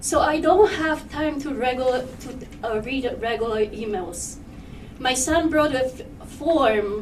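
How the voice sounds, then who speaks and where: A high-pitched woman with a Polish accent and lively intonation at a fairly slow pace, amid audible room echo and noticeable background noise. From Poland. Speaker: parent speaking at public comment. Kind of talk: public comment at board meeting. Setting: public meeting with microphone. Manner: halting.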